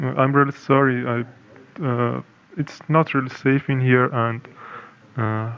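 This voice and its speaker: Someone with a Persian accent speaks at a fairly slow pace with fairly even intonation. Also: man, medium pitch for a man. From Iran. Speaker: anonymous insider. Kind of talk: interview. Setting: video call, camera off. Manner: halting, many fillers.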